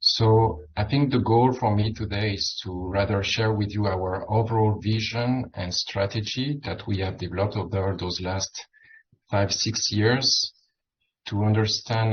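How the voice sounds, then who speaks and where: A man with a French accent speaks at a fairly slow pace in a fairly low, somewhat breathy voice with fairly even intonation. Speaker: medical physicist or radiation oncology researcher. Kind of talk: conference presentation. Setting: dinner symposium with audience.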